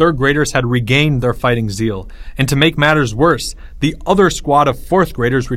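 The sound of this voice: An unforced voice for reading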